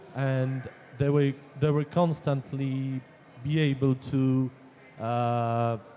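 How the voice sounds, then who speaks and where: The speaker has a non-native accent and a flat, monotone intonation at very even loudness. The pace is very slow, with long, frequent pauses. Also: man, medium pitch for a man. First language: Polish. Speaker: audience member. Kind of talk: audience question.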